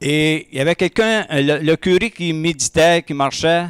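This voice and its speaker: Recorded very cleanly against a silent background with a dry, close sound and no echo, a man in an Acadian accent speaks very slowly at a fairly high pitch with ordinary pitch variation. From Acadia (New Brunswick, Madawaska). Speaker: testimony speaker at church breakfast. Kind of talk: testimony. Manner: hesitant, many fillers.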